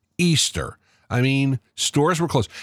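On a very clean recording with a silent background and a dry, close sound with no echo, a man speaks at a fairly high pitch and a fairly slow pace. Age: 60s. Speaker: podcast host. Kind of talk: monologue commentary. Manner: conversational.

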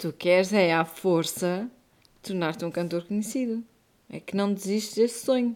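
Medium-pitched female speech in an ordinary speaking voice, with ordinary pitch variation at a moderate pace. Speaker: podcast co-host and mother. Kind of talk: casual chat.

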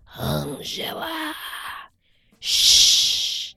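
This put-on character voice sounds raspy. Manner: whispering, hushing.

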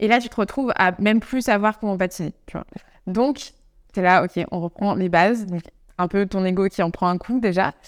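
In a very clean recording with a silent background and a dry, close sound with no echo, a woman speaks at medium pitch and a moderate pace, with ordinary pitch variation and long, frequent pauses. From France, Savoie (near Chambéry). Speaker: yoga teacher working in sport. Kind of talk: casual interview chat. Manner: hesitant, many fillers.

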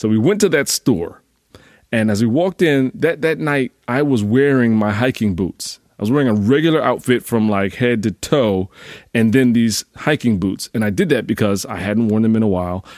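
A man with an unremarkable speaking voice and an American accent, medium pitch with ordinary variation, moderate pace, dry, close sound with no echo, and a very clean recording with a silent background. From US Northeast. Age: 40s. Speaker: fitness coach. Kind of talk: casual solo podcast monologue.

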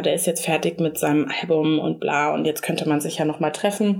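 At a fairly quick pace, a woman speaks in a monotone, flat intonation. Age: 30s. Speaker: podcast co-host. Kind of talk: casual chat.

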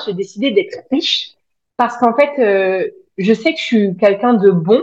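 Her fairly high pitch carries lively intonation as this woman speaks. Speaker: spiritual coach and social media creator. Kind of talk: casual interview. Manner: outspoken.

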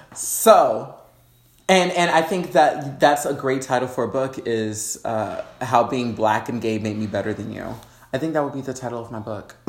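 Over noticeable background noise, a man of medium pitch talks at a moderate pace with ordinary pitch variation and big swings in loudness. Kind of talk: casual chat. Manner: animated.

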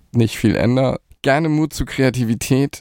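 A man's dark, mellow voice at a fairly slow pace, in a very clean recording with a silent background and a dry, close sound with no echo. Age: 40s. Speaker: agency managing director. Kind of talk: interview.

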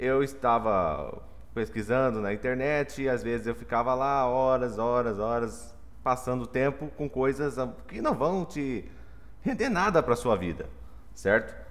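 An unremarkable speaking voice from a man, medium in pitch, at a fairly slow pace with ordinary pitch variation. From Mato Grosso do Sul, Brazil. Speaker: software engineering professor. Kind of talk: casual chat.

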